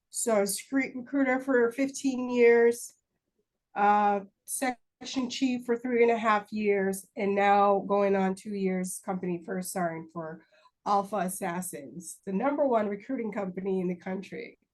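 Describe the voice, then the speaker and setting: This woman has a medium pitch and ordinary pitch variation. Her pace is fairly slow. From Jamaica (Kingston). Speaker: army recruiting first sergeant. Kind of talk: interview.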